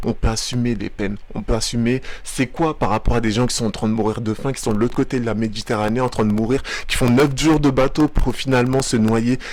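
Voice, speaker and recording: Over noticeable background noise, a man of medium pitch talks at a fairly quick pace. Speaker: video commentator. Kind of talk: reaction commentary. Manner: animated.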